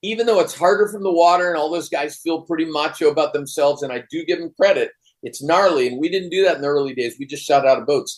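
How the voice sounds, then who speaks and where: An American-accented man at a very fast pace, fairly high in pitch, with ordinary pitch variation. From US East Coast, Virginia. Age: 60s. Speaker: surf photographer. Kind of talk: casual chat.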